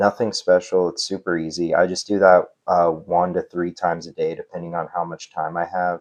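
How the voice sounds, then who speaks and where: In a quiet background, a man with a very deep, low pitch speaks at a moderate pace. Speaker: affiliate marketing creator. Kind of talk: tutorial. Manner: halting, filler-heavy; casual.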